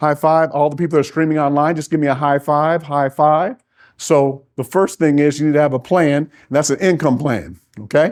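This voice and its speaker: Against a quiet background, a man with an American accent speaks at a fairly quick pace and a fairly high pitch. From US Midwest, Minnesota. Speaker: financial coach and pastor. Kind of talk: seminar talk to live audience. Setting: live event with audience, streamed online. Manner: fast; animated.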